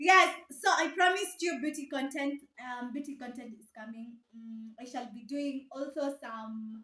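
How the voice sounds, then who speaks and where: Raised and projected, a woman's high, bright, sharp voice sounds animated, moving at a fairly slow pace with hardly any pauses, ordinary pitch variation and big swings in loudness. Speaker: vlogger. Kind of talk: casual vlog talk to camera.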